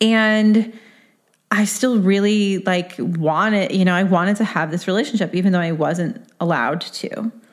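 A woman talks at a moderate pace and medium pitch, with ordinary pitch variation. She has an unremarkable speaking voice. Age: 30s. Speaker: podcast host. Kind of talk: solo podcast monologue. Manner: casual, conversational with fillers.

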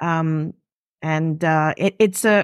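Ordinary pitch variation runs through this voice with a French accent. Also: woman. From Switzerland, Geneva. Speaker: food and travel writer. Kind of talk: interview. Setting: video call.

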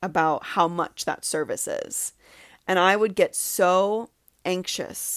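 Very slowly, a woman speaks at medium pitch with fairly even intonation. The recording is very clean, with a silent background. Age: 30s. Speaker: podcast host, healing coach. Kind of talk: solo monologue, personal reflection.

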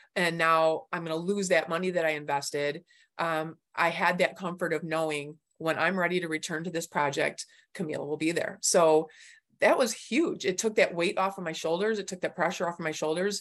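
A woman with an American accent talks at a fairly quick pace and fairly low pitch, with fairly even intonation, over a quiet background. She has a plain, everyday voice. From Michigan, US. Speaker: design coaching client. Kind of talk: interview testimony.

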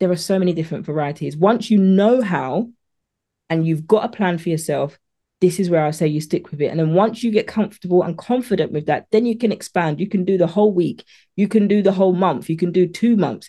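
A woman with a British accent, a dark, mellow tone, ordinary pitch variation and a fairly quick pace, against a quiet background. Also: medium pitch for a woman. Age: 40s. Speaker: meal prep coach. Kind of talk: interview.

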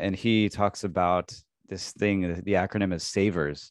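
A man speaks at a moderate pace in a very deep, low pitch with a Midwestern American accent. His intonation is monotone and flat, over a quiet background. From US Midwest, Illinois. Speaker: university English teacher and real estate investor. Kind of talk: interview conversation.

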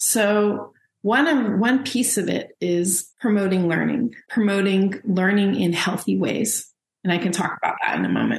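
In an American accent, a woman talks at a fairly slow pace with vocal fry, medium pitch and very even loudness. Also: ordinary pitch variation. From Los Angeles, US. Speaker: sociology professor and author. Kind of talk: interview conversation.

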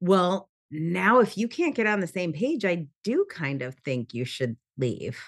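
A woman speaks at a fairly slow pace with hardly any pauses, her medium pitch swinging very widely. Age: 40s. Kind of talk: interview conversation. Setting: remote call.

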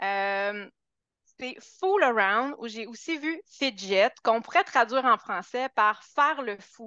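Very slowly, a woman speaks in a bright, sharp tone with lively intonation, captured dry and close with no echo against a quiet background. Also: fairly high pitch for a woman, big swings in loudness. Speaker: dog trainer. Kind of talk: interview.

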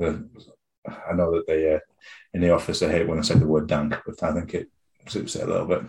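With a British accent, a man speaks at a rather brisk pace. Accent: UK English. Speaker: head brewer. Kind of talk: casual interview chat.

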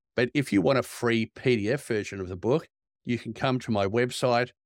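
An Australian-accented man at a fairly quick pace, with ordinary pitch variation, in a dry, close sound with no echo and a very clean recording over a silent background. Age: 50s. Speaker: executive recruiter. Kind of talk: interview.

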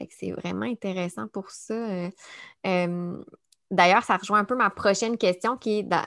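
A woman with a Quebec accent speaks at a fairly slow pace, with long, frequent pauses and a medium pitch. Her intonation is fairly even, and the recording is very clean with a silent background. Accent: Québécois French. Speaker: podcast host and speech-language pathologist. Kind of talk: casual interview. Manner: hesitant, many fillers.

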